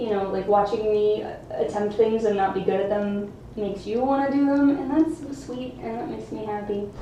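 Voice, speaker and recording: Amid noticeable background noise and audible room echo, a woman talks at a moderate pace and fairly high pitch with ordinary pitch variation and big swings in loudness. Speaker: juggling YouTuber streaming live. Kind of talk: casual live stream chat. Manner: casual, hesitant with fillers.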